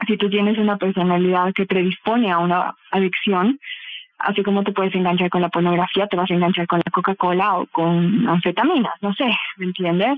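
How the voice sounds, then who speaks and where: At a fairly quick pace, a woman with an ordinary speaking voice keeps her intonation fairly even and her loudness very even. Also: medium pitch for a woman. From Bolivia. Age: 30s. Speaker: psychotherapist and clinical sexologist. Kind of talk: interview answers.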